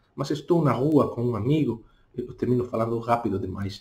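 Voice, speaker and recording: Somewhat breathy, a man speaks with a Spanish accent and lively intonation. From Spain. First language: Spanish (speaking Portuguese). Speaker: language teacher. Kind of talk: tutorial. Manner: deliberately slow.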